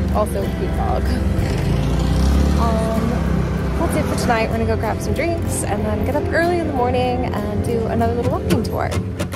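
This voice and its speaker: Loud music plays behind a woman speaking at a moderate pace with ordinary pitch variation. The sound is dry with no echo, and she leaves long, frequent pauses. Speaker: travel vlogger. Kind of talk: casual vlog chat. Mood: cheerful, enthusiastic. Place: street. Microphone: phone near.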